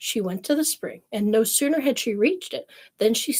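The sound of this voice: Over a quiet background comes an unforced reading voice.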